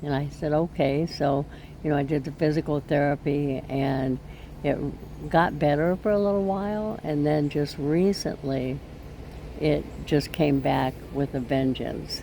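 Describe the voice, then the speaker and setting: With noticeable background noise, a woman speaks at a very deep, low pitch with very even loudness and ordinary pitch variation. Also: fairly slow pace. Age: 70s. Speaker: vlogger. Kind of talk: personal vlog talk. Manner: halting.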